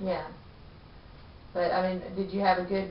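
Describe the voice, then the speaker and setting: Background noise is noticeable. The delivery keeps a moderate pace. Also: woman. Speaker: interviewer. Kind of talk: interview questions.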